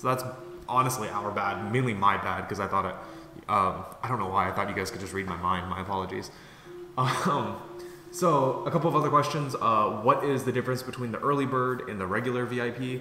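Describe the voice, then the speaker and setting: Over noticeable background noise and audible room echo, a man with a medium pitch talks at a fairly quick pace with lively intonation. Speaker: product creator and YouTuber. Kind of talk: casual update video. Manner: fast; many fillers (um, uh).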